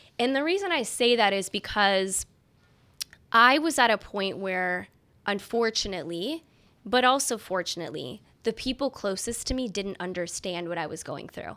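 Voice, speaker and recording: A woman speaks in an American accent at a medium pitch and a moderate pace. Her tone is bright and sharp, with lively intonation. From US Midwest, Chicago. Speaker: sports marketing executive. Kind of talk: interview conversation.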